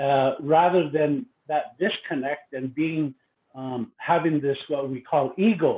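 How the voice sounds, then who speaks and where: Speaking very slowly with a Lakota accent, this man has a fairly high pitch and ordinary pitch variation. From Pine Ridge, South Dakota (Lakota). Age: 50s. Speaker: university educator, conference presenter. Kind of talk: conference presentation. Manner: halting with many fillers.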